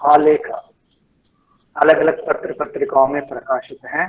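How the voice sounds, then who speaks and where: A man is speaking. He has a Kannada accent. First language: Kannada (speaking Hindi). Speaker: lecture series moderator. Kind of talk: speaker introduction. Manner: halting, with fillers.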